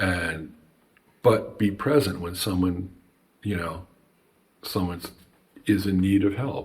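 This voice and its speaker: A somewhat breathy man with an American accent and a very deep, low pitch, ordinary pitch variation, very slow pace and long, frequent pauses. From New Jersey. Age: 60s. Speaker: banjo maker and artist. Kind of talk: casual chat.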